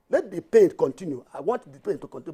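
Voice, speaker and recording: With a dark, mellow tone and very wide pitch swings, a man talks at a very fast pace in a dry, close sound with no echo. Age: 60s. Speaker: tax reform campaigner. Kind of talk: TV panel discussion. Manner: animated; halting.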